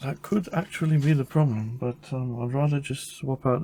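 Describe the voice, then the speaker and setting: Somewhat breathy, a man speaks at a medium pitch and moderate pace with a dark, mellow tone and ordinary pitch variation. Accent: American. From Caribbean, British parents. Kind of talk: tutorial. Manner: casual, thinking aloud.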